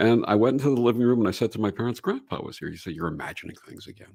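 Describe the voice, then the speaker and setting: Dark, mellow tone in a New York accent with ordinary pitch variation. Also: man. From Brooklyn, New York. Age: 60s. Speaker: reverend and radio show host. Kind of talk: interview storytelling.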